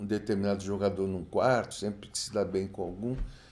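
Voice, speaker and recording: This man's voice has a dark, mellow tone. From São Paulo coast, Brazil (São Vicente). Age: 70s. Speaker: retired footballer. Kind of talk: interview.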